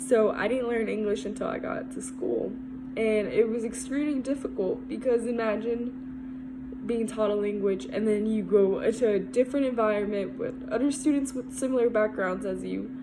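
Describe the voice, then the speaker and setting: Through audible room echo and noticeable background noise, a woman speaks at a moderate pace in a fairly high pitch with fairly even intonation. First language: Spanish. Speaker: student. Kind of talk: class presentation. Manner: casual, conversational.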